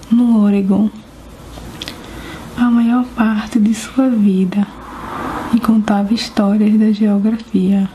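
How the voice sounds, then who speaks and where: Soft-spoken and calm in tone, a woman with a fairly high pitch talks at a very slow pace in a monotone, flat delivery over noticeable background noise. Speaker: ASMR creator. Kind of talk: ASMR book reading, soft spoken. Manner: soft-spoken, calm, relaxing.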